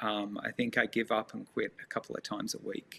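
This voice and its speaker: A man with an Australian accent speaks in a passionate tone at a moderate pace. The sound is dry and close, with no echo. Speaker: nonprofit leader working on homelessness. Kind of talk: interview.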